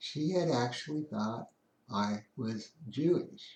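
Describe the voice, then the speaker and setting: A man with an American accent speaks in a medium pitch. His intonation is lively. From Kansas, Garden City. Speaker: storyteller. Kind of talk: casual monologue. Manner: halting, many fillers.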